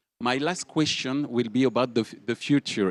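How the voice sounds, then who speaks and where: The speaker talks with a French accent in a dry, close sound with no echo. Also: man. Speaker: panel moderator. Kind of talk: panel discussion.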